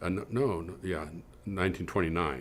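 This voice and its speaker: The voice has vocal fry, ordinary pitch variation and a moderate pace. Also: man. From California, San Joaquin Valley. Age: 70s. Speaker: researcher. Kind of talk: interview reminiscence. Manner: halting, many fillers and restarts.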